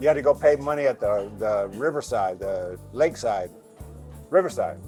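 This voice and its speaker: An American man talks at a moderate pace, his pitch swinging very widely. Music plays in the background. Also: medium pitch for a man. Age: 70s. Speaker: travel vlogger. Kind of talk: casual chat. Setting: cafe.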